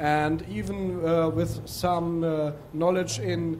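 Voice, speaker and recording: A man is heard with audible room echo. There is noticeable background noise too. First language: not English. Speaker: demoscene coder, audience member. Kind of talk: audience discussion at a seminar. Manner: halting, many fillers.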